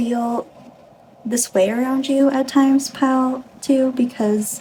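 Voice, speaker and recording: Noticeable background noise sits behind a woman with a high pitch. She speaks very slowly in a monotone, flat way. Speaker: tarot reader. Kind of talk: tarot reading to camera.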